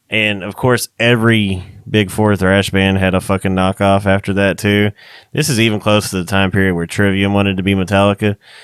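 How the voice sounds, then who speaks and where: A man talks at a fairly low pitch in a monotone, flat intonation. The sound is dry and close with no echo, on a very clean recording with a silent background. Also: fairly quick pace. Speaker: podcast co-host, metal musician. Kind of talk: casual chat. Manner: loud.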